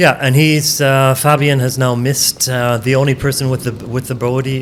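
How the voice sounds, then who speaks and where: Amid noticeable background noise, a man with a Canadian accent speaks at a moderate pace and medium pitch. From Canada. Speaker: disc golf commentator. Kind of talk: live commentary.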